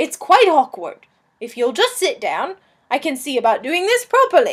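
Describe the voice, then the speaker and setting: A put-on character voice from a woman, extremely high-pitched, with very wide pitch swings. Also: moderate pace. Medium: read story. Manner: polite, apologetic, genteel.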